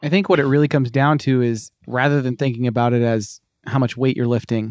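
A man with an unremarkable speaking voice and an American accent talks at a fairly quick pace, with medium pitch and fairly even intonation. The recording is very clean, with a silent background. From US Northeast (Cape Cod, Massachusetts). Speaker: personal trainer. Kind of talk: casual interview.

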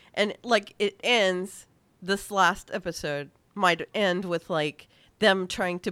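Her pitch medium and her variation ordinary, a woman talks at a very slow pace. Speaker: podcast host. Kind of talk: casual chat, show recap. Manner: animated, chatty.

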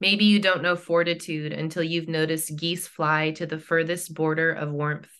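A woman in an American accent talks at a moderate pace with a fairly low pitch and monotone, flat intonation. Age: 30s. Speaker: author and poet. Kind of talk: interview; poetry reading.

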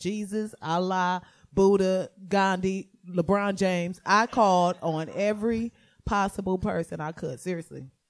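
In a very clean recording with a silent background, a woman talks with a normal speaking voice. Her pitch is medium with ordinary variation, and her pace is moderate. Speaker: stand-up comedian and podcaster. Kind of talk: casual chat. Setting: stage with audience.

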